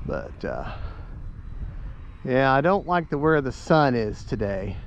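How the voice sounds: This man talks at a slow pace with a medium pitch, very wide pitch swings and vocal fry.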